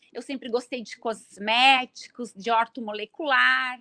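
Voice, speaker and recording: Talking at a very slow pace, a woman has a high pitch and a bright, sharp tone, recorded with a dry, close sound and no echo. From Brazil, Serra Gaúcha (Rio Grande do Sul). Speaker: pharmacist and bioethics researcher. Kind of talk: interview. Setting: live online event.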